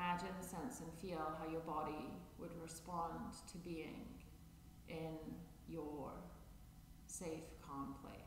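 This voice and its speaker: The speech comes at a very slow pace with long, frequent pauses and fairly even intonation. Noticeable background noise and audible room echo fill the recording. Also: man, fairly high pitch for a man. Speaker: chair yoga instructor. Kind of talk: guided meditation; guided chair yoga class. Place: empty room.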